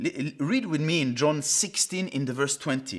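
In a very clean recording with a silent background, a man with a Swiss French accent speaks at a moderate pace with fairly high pitch and vocal fry. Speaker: pastor. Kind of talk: sermon.

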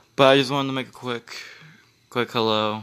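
Bright and sharp, this is a man's voice. His intonation stays fairly even. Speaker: podcaster. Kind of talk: casual chat. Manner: soft-spoken.

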